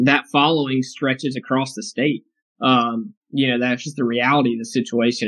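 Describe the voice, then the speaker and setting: A man's unremarkable speaking voice at a medium pitch and moderate pace, with ordinary pitch variation, over a quiet background in a dry, close sound with no echo. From North Carolina, Raleigh area. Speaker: sports reporter. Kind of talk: interview.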